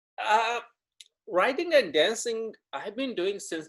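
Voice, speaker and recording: Speaking very slowly with a Punjabi accent, a man with a high voice makes big swings in loudness and very wide pitch swings. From Punjab, India. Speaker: dancer and writer. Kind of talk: interview. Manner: halting.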